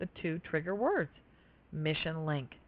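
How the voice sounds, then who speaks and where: A woman uses a plain, everyday voice, fairly low in pitch, at a moderate pace. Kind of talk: guided meditation.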